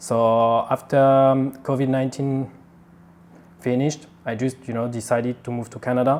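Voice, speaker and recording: A man's medium-pitched voice in a French accent. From France. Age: 20s. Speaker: engineer, company COO. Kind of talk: interview answer.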